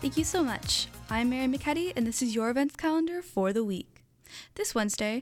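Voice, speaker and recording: A woman speaks at a fairly quick pace with ordinary pitch variation in a normal speaking voice, on a very clean recording with a silent background. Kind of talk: newsreading. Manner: bright, clear and efficient, reading weather figures and event details at a steady pace.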